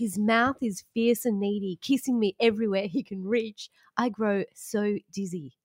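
With an Australian accent, a woman speaks at a fairly slow pace in a fairly high voice, with an animated tone and ordinary pitch variation. The sound is dry and close, with no echo. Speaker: podcast co-host. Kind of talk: casual chat. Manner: animated, laughs a lot.

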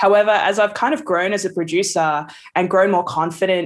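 With an Australian accent, a woman speaks at a moderate pace. Her intonation stays fairly even. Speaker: music producer. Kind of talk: casual chat.

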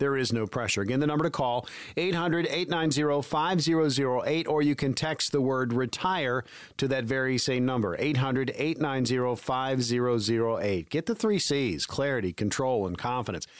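Delivered at a fairly quick clip, this is a plain, everyday voice with ordinary pitch variation and very even loudness. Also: man, medium pitch for a man. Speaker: radio host, consumer advocate. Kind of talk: radio show host reading a promo and giving phone number. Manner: clear, upbeat, brisk.

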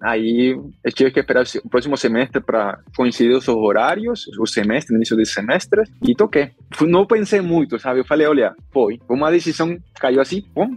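With a Spanish accent, a man at medium pitch talks at a moderate pace with very wide pitch swings and very even loudness, in a dry, close sound with no echo. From northern Colombia. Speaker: solar energy engineer and researcher. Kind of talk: interview. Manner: mixes Spanish and Portuguese, halting.

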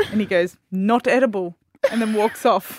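Recorded dry and close with no echo, a woman with an Australian accent speaks at a fairly high pitch. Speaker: radio host. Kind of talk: casual chat. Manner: animated.

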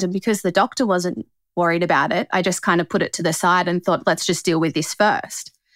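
A woman speaks at a very fast pace with an Australian accent and ordinary pitch variation. The sound is dry and close with no echo, on a very clean recording with a silent background. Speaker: cancer survivor. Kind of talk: testimony.

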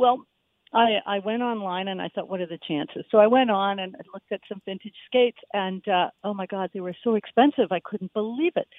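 A woman speaks in a normal speaking voice at a medium pitch and a fairly quick pace. Her pitch variation is ordinary, but her loudness swings widely. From Halifax, Canada. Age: 60s. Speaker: caller. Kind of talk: casual chat. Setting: phone call.

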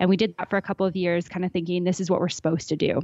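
A woman's fairly low voice in a Canadian accent, monotone and flat in intonation. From Alberta, Canada. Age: 20s. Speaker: travel podcaster. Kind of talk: interview.

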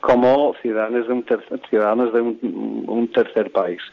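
A man with an English accent, fairly even intonation, and noticeable background noise. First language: English (speaking Spanish). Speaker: association president. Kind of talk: interview. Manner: halting.

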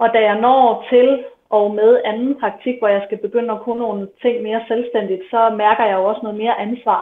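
Her voice is fairly high in pitch, with a woman speaking in flat, monotone intonation. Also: moderate pace. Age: 20s. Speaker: midwife. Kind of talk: interview testimony.

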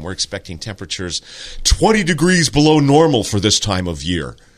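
A man puts on a booming character voice, fairly low in pitch. He moves at a fairly quick pace with very wide pitch swings. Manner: emphatic.

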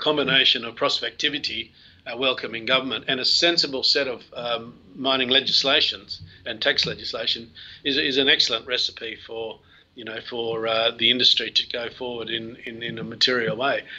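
Loudness swings widely as a man with an Australian accent speaks at a moderate pace and medium pitch. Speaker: mining company CEO. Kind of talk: interview. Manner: halting.

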